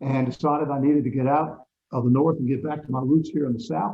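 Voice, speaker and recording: A man's somewhat breathy voice rushes along at a very fast pace. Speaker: radio broadcaster. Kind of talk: interview answer.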